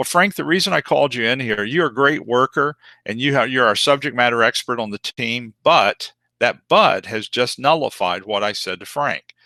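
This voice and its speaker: Medium pitch for a man, lively intonation and a bright, sharp tone, dry and close with no echo, over a quiet background. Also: moderate pace. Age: 60s. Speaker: corporate trainer. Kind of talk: webinar training lecture. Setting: online webinar. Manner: loud.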